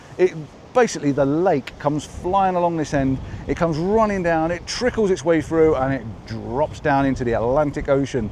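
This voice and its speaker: Noticeable background noise is present. The talking runs at a fairly quick pace. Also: man. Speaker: travel vlogger. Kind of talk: casual vlog narration. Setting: outdoors. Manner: fast; animated.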